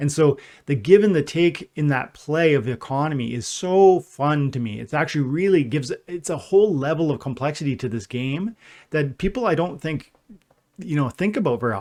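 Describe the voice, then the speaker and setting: Against a quiet background, a man with a fairly high pitch speaks at a fairly quick pace, with an animated tone and lively intonation. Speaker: gaming YouTuber / livestreamer. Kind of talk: live stream chat. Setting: livestream. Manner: fast.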